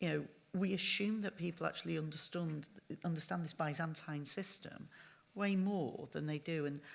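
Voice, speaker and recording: A woman with a Manchester accent speaks at a very deep, low pitch with ordinary pitch variation. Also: moderate pace. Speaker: panel chair. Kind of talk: panel discussion.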